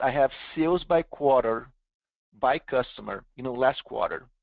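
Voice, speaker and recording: This man speaks with a Brazilian accent. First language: Portuguese. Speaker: software company founder and CEO presenting. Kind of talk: webinar product demo. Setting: online webinar.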